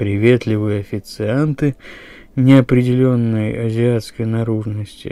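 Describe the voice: Someone reads plainly aloud. The pitch contour is fairly even.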